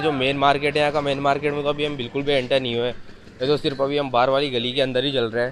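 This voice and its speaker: A man rattles off words very fast in a flat monotone, with noticeable background noise behind him. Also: dry sound with no echo. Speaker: market vlogger. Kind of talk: casual vlog chat. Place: market. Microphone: phone near.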